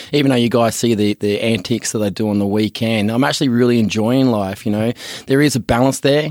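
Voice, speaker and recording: Very fast and with fairly even intonation, a man speaks in an Australian accent, on a very clean recording with a silent background and a dry, close sound with no echo. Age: 30s. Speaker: podcast co-host, business founder. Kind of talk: casual chat.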